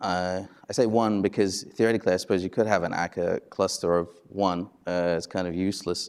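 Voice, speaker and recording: A man with a very deep, low voice talks fairly quickly in a monotone, flat intonation. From Australia. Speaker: conference speaker, software consultant. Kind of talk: conference talk. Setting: stage with audience. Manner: casual, many fillers.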